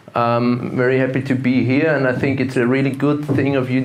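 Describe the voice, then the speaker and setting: In an Austrian accent, a man speaks at a moderate pace and medium pitch with monotone, flat intonation, amid noticeable background noise and audible room echo. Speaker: investment fund manager and gold analyst. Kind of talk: conference talk. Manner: hesitant, many fillers and repetitions.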